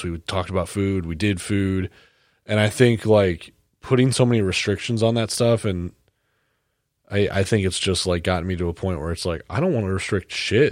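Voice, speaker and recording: Very deep and low in pitch, a man speaks at a fairly quick pace with ordinary pitch variation. The recording is very clean, with a silent background. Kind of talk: casual chat. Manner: loud.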